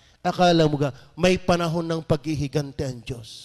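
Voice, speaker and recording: At a moderate pace, a man talks in a high voice with fairly even intonation over a quiet background. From Batangas, Philippines. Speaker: pastor. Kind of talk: sermon. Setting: church. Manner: fervent, urgent preaching with rhetorical questions. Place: church. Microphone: handheld.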